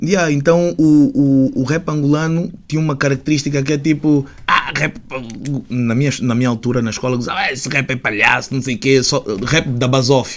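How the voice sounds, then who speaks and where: With ordinary pitch variation and a fairly high pitch, the man keeps a moderate pace. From Portugal, Lisbon area (Catujal), Angolan family. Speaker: rapper. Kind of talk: podcast interview. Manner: halting, many fillers.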